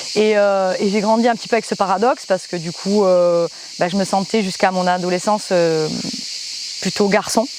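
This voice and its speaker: This woman's voice sits at a medium pitch with fairly even intonation. Her pace is moderate. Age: 30s. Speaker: musician and singer, footballer. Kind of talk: interview testimony. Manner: halting, many hesitations.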